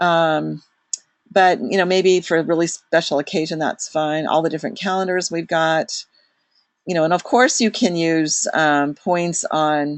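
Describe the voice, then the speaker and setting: A woman's fairly low, fairly slow voice with fairly even intonation, an unremarkable speaking voice. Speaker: product consultant leading a training webinar. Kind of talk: online product walkthrough to a group. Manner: casual with many fillers.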